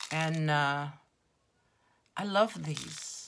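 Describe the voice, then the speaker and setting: A woman speaks with a very deep, low pitch and lively intonation. Her voice carries vocal fry. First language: not English (English second, French third). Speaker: crafter / craft vlogger. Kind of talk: casual craft show-and-tell. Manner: chatty, meandering with fillers.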